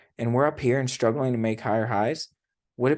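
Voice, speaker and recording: Medium pitch from a man with fairly even intonation, set against a quiet background. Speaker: trading educator. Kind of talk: tutorial. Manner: fast; casual.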